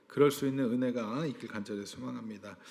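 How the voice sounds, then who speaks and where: A man speaks at a medium pitch. There is audible echo from the room. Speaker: pastor. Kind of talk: sermon.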